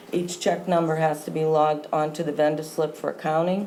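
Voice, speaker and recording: A woman speaks at a fairly quick pace in a very deep, low voice with monotone, flat intonation. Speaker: town treasurer. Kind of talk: formal report at a town board meeting. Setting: town board meeting room. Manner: formal.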